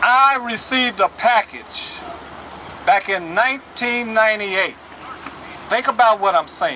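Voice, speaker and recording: Over noticeable background noise, a man with a high pitch speaks fairly slowly in a raised, projected, animated voice, with ordinary pitch variation and long, frequent pauses. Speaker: retired plant worker, activist. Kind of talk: protest speech.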